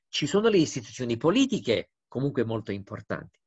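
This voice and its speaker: Over a quiet background, a man talks at a fairly quick pace, somewhat breathy and with lively intonation. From Romania. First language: Romanian (speaking Italian). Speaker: diplomat; interviewee. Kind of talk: interview; interview answer. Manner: hesitant, with fillers. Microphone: video call.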